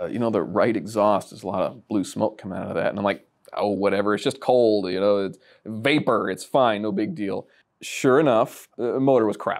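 Against a quiet background, a man speaks at a moderate pace in a fairly low voice with ordinary pitch variation. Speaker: car enthusiast storyteller. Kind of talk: interview answer. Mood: relaxed, amused storytelling. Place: studio. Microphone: lapel.

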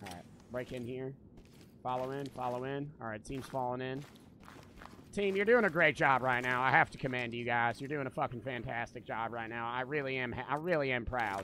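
A man's bright, sharp voice at medium pitch, fairly quick and animated, with ordinary pitch variation, dry sound with no echo and light background noise. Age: 20s. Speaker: gaming streamer. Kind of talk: live game stream commentary. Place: home room. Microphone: studio mic.

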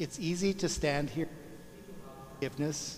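A man's fairly even intonation and moderate pace come through over light background noise. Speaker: priest. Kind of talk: sermon. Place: church.

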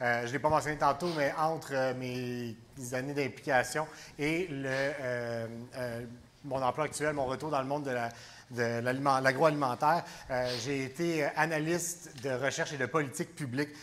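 Fairly high in pitch, a man with a Quebec accent speaks at a fairly slow pace and with fairly even intonation over light background noise. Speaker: election candidate. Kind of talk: political debate. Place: hall. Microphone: lapel.

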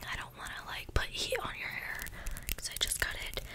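A woman is whispering. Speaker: ASMR creator playing hairdresser. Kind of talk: ASMR roleplay chat. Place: home room. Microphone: studio mic.

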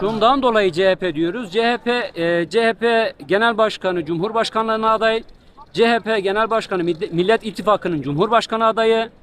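Light background noise sits under a dry sound with no echo as the speaker goes at a moderate pace with ordinary pitch variation. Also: man. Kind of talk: street interview answer. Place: street. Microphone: handheld.

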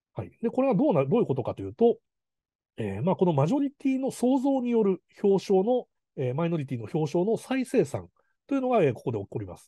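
A man speaks very fast, his dark, mellow voice swinging very widely in pitch. The sound is dry and close with no echo, over a quiet background. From Kanazawa, Ishikawa, Japan. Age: 40s. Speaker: film director. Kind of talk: lecture. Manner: hesitant, many fillers.

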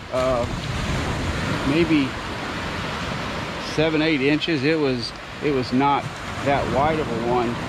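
Amid noticeable background noise, a man talks at a fairly slow pace in a dry sound with no echo. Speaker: vlogger. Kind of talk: casual vlog chat. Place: beach. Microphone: phone near.

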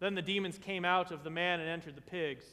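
The speaker is a man with a high pitch. He keeps to a moderate pace. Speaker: vicar preaching a sermon in a Lutheran church. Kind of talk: church sermon. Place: church. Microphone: podium.

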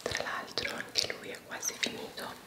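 The voice belongs to a woman. Her words come out as a whisper. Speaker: beauty vlogger. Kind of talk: ASMR vlog, makeup talk to camera. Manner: whispered. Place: bathroom.

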